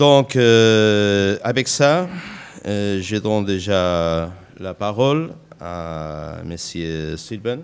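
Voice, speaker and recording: With audible room echo, a man speaks very slowly at a fairly low pitch, with lively intonation and big swings in loudness. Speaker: conference moderator. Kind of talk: conference panel moderation. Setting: conference stage with audience. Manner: halting, many hesitations.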